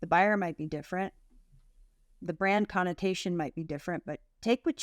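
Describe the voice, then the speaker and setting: With an American accent and a normal speaking voice, a woman talks at a fairly quick pace, her fairly low pitch held in fairly even intonation, in a very clean recording with a silent background and a dry, close sound with no echo. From US. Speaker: content marketing agency owner. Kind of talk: interview podcast.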